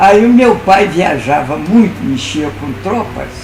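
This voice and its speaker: Music plays in the background as a man with a high voice talks at a very slow pace, his intonation lively and the room echo audible. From Minas Gerais, Brazil. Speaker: lawyer and writer. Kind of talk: interview. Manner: halting.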